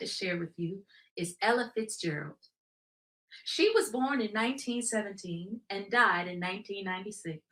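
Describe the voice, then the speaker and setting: Her medium-pitched voice has a bright, sharp tone and lively intonation as the woman speaks. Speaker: jazz history presenter. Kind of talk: educational talk on music history.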